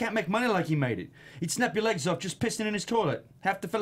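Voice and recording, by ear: The text is being read aloud in a natural voice.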